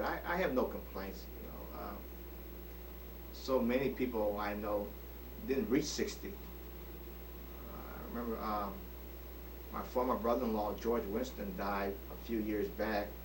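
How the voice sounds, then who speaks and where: Fairly slow male speech amid noticeable background noise, with audible echo from the room. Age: 60s. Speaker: retiree recording a birthday video. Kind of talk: personal video diary monologue. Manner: hesitant, many fillers.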